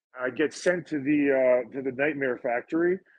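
A man takes a fairly slow pace, his pitch varying in an ordinary way. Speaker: professional wrestler. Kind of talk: casual chat. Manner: animated.

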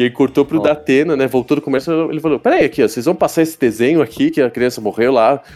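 A man talks at a very fast pace with hardly any pauses, his fairly high pitch moving with ordinary variation. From Brazil, São Paulo. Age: 30s. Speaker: voice actor. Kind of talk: casual chat.

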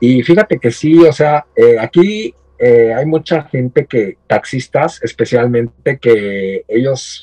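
A man speaks very slowly at medium pitch with fairly even intonation and a dark, mellow tone, the sound dry and close with no echo. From Mexico, State of Mexico (Ecatepec). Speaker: horror collector and content creator. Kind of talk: casual interview chat.

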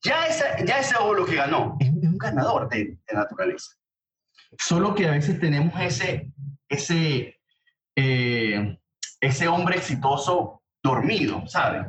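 With vocal fry, a man talks at a fairly slow pace and a fairly high pitch, making very wide pitch swings. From Venezuela, Barquisimeto. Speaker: journalist and author. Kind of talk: interview.

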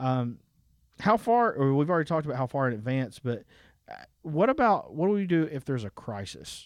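Against a quiet background, a man with a Southern US accent speaks at a fairly quick pace with a fairly high pitch and very wide pitch swings. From Alabama. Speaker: pastor. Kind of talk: casual chat.

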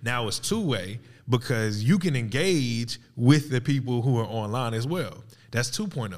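A man with a normal speaking voice talks at a fairly slow pace. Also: medium pitch for a man, ordinary pitch variation. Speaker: podcast host. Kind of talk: casual banter podcast chat. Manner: teasing, playful.

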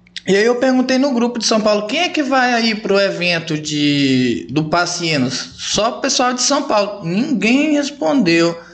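A man talks at a fairly slow pace with hardly any pauses, his high pitch swinging very widely at a very even loudness. Noticeable background noise and audible room echo fill the recording. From Rondônia, Brazil (Guajará-Mirim). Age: 30s. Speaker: barber and barbershop event promoter. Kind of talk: casual interview chat.

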